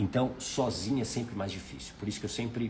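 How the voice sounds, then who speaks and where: In a somewhat breathy voice, a man with a Brazilian accent speaks amid audible room echo. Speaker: life mentor. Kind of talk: live stream talk. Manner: conversational.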